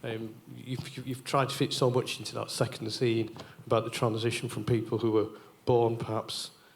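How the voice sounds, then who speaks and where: At a moderate pace, this somewhat breathy voice keeps to a monotone, flat intonation. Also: man, medium pitch for a man. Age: 60s. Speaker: audience member. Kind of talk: audience comment at Q&A.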